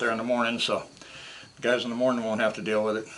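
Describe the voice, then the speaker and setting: A man with an American accent speaks at a medium pitch over noticeable background noise. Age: 60s. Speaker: scrap metal YouTuber. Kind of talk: casual vlog talk to camera. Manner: casual, hesitant with fillers.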